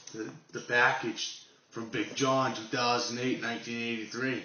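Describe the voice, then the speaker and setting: Amid noticeable background noise and audible room echo, a man speaks fairly slowly at a medium pitch with monotone, flat intonation. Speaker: knife channel vlogger. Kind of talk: casual unboxing vlog.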